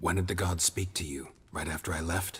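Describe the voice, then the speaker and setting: Putting on a character voice, a man growls in a very deep, low pitch with a deadpan tone at a fairly quick pace. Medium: video game. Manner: terse, deadpan.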